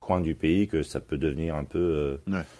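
Speaking at a fairly slow pace, a man uses a very deep, low pitch and a dark, mellow tone with fairly even intonation. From Australia (Canberra), French parents. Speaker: youth football coach. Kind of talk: interview. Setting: remote call. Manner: halting.

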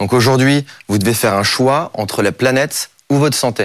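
This man talks at a moderate pace with ordinary pitch variation. His tone is energetic. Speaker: startup cofounder. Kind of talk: startup pitch.

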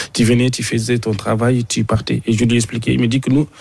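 Fairly even in intonation, a man speaks with a normal speaking voice at a medium pitch. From Mauritania. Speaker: sports journalist. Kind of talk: radio interview. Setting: radio studio in Abidjan.

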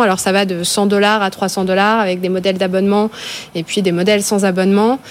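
Noticeable background noise sits behind a woman at a medium pitch. She speaks at a fairly quick pace in a flat monotone. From France, Ardennes. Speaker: tech consultant. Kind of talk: panel discussion.

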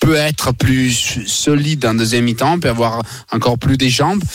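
With fairly even intonation, a man of medium pitch speaks at a moderate pace. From Italy. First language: Italian (speaking French). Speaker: Italian football pundit. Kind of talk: radio sports betting discussion.

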